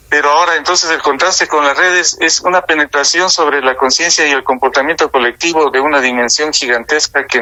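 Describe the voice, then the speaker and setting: Over noticeable background noise, a man with a fairly high pitch talks at a fairly quick pace with hardly any pauses, ordinary pitch variation, and very even loudness. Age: 60s. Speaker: political and social analyst. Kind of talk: radio talk show discussion.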